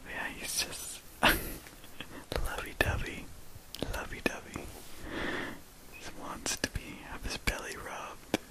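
A soft-spoken whisper delivered at a very slow pace. Long pauses break it up often. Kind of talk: casual vlog chat. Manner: tender soft whisper to cat. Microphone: phone near.

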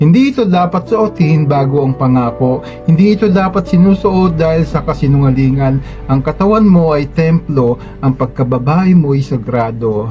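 Intonation is lively and the pace moderate. Music plays in the background. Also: man, fairly high pitch for a man. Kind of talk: spoken word poetry reading. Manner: earnest, advisory.

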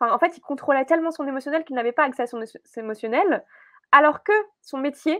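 A woman with a high pitch talks at a very fast pace, with ordinary pitch variation and big swings in loudness. The sound is dry with no echo against a quiet background. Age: 20s. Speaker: entrepreneur and emotional wellness coach; emotional wellness coach. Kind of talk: podcast interview. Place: office.

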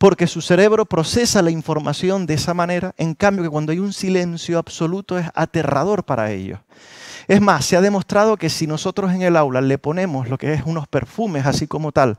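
A man with a fairly high pitch talks at a fairly quick pace in an animated tone with lively intonation. The background is quiet, and the sound is dry with no echo. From Canary Islands. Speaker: university professor and musicologist; university professor. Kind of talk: lecture workshop. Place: hall. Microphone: headset.

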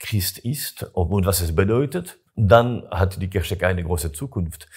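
A man's somewhat breathy voice in a French accent, with lively intonation. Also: quiet background. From Switzerland, Gruyère, canton of Fribourg (French-speaking); Fribourg, Switzerland. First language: French (speaking German). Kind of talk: interview. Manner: halting. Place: home room. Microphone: lapel.

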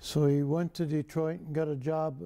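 Against a quiet background, a man with an American accent talks fairly slowly at a fairly high pitch in a dark, mellow tone. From rural Illinois. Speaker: war veteran. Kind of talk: oral history interview. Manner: halting. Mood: calm, reflective, wry. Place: studio. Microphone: lapel.

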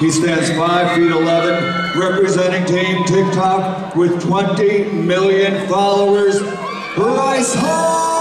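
A man at a very slow pace, with audible room echo and clear music in the background. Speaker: ring announcer. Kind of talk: event announcing. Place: stage.

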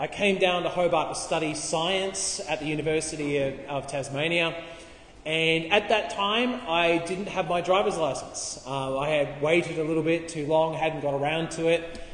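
Fairly even intonation from a man, with audible room echo. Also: moderate pace. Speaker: preacher. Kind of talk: sermon. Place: hall. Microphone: camera far.

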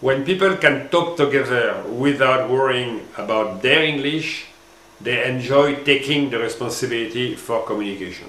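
A man speaks with a French accent and ordinary pitch variation, with audible echo in the room. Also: moderate pace. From France. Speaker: former marketing executive, language educator. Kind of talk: scripted presentation.

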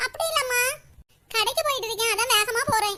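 A cartoonish, squeaky character voice from a woman, extremely high in pitch, with ordinary pitch variation at a moderate pace. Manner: gentle, motherly.

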